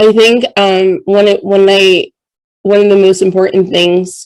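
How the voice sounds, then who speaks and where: A woman speaks at a moderate pace in a flat, monotone delivery. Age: 30s. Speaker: podcast host and reiki coach. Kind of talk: interview podcast.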